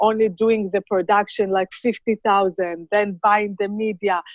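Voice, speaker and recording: A woman with an Israeli accent speaks at a fairly slow pace and a medium pitch in a monotone, flat intonation. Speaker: cosmetics brand founder. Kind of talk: interview.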